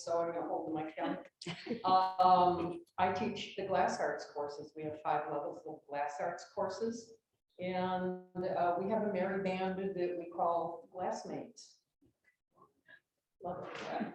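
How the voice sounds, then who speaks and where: Pausing long and often, a woman talks at a fairly slow pace with fairly even intonation. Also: medium pitch for a woman. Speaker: glass arts instructor. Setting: panel with microphone. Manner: loud.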